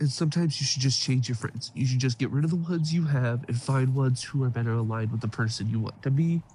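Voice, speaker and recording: A somewhat breathy man at a very fast pace with hardly any pauses. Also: medium pitch for a man, ordinary pitch variation, very even loudness. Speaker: self-help YouTuber. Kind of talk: motivational talk to camera.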